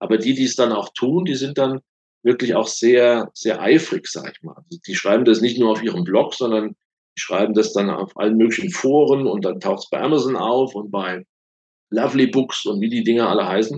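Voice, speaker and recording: Loudness swings widely as a man speaks at a moderate pace in a medium pitch with ordinary pitch variation. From Rheinhessen, Germany. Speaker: thriller author and career coach. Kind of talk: interview. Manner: hesitant, many fillers.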